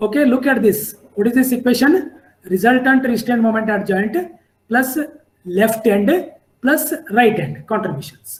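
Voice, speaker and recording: A man with an extremely high pitch. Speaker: civil engineering lecturer. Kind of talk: lecture.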